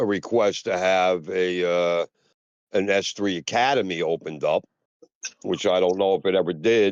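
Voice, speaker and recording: A man talks at a very deep, low pitch. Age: 60s. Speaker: milsim veteran, former platoon leader. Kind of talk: casual chat. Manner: halting, many fillers and repetitions.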